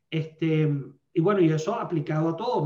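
With ordinary pitch variation, this man speaks in a dark, mellow tone. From Venezuela. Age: 50s. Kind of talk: podcast interview, teaching talk.

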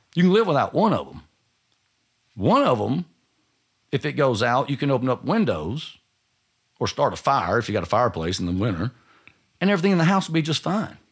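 A man's fairly high voice with vocal fry, very wide pitch swings, a fairly quick pace and long, frequent pauses. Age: 40s. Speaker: roofing company owner. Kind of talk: interview. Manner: halting.

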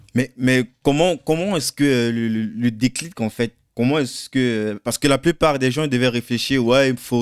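A man in an ordinary speaking voice talks fairly slowly with hardly any pauses, medium pitch and ordinary pitch variation, in a very clean recording with a silent background and a dry, close sound with no echo. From Cameroon. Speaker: podcast host. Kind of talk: interview.

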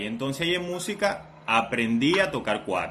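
This man's high-pitched voice swings very widely in pitch. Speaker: podcast co-host, DJ. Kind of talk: casual chat.

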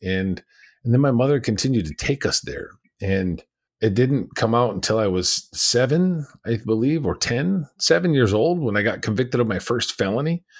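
Speech at a moderate pace with an American accent and lively intonation. The recording is very clean, with a silent background. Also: man, medium pitch for a man. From California, US. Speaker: abuse survivor, former prisoner, speaker and mindset coach. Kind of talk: interview, personal testimony.

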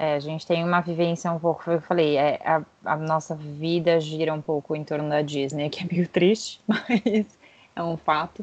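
A woman with a very deep, low voice talks at a moderate pace, her intonation fairly even. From Brazil, São Paulo city. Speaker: podcast co-host, corporate concierge. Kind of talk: casual chat.

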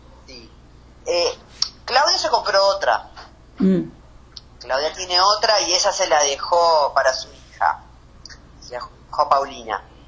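A woman speaks at a fairly slow pace with long, frequent pauses and big swings in loudness, over noticeable background noise. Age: 50s. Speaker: anesthesiologist. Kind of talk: interview.

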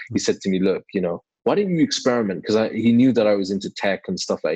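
Against a quiet background, a man with a British accent speaks fairly quickly in a fairly low voice, the sound dry and close with no echo. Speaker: YouTuber. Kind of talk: casual interview.

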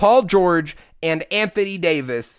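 On a very clean recording with a silent background, a man speaks at a high pitch with lively intonation. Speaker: sports podcast co-host. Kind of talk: sports talk show chat. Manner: conversational, laid-back, joking.

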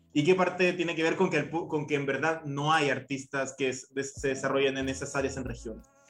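Against noticeable background noise, a man with a fairly high voice talks at a fairly quick pace with hardly any pauses. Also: fairly even intonation. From Chile, Copiapó. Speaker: podcast host. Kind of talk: casual discussion.

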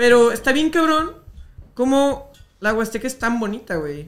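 With lively intonation, a man talks at an extremely high pitch. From Jalisco, Mexico (Guadalajara). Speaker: meme page creator. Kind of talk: casual chat.

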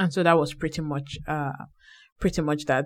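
A woman speaks with a very deep, low pitch and monotone, flat intonation. The recording is very clean with a silent background. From Nigeria. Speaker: podcast co-host. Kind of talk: casual chat.

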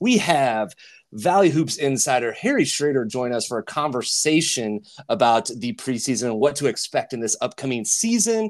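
The speaker's pitch swings very widely, and the pace stays moderate. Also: man, medium pitch for a man. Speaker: podcast host. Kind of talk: casual sports podcast chat. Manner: chatty, enthusiastic, with many filler words.

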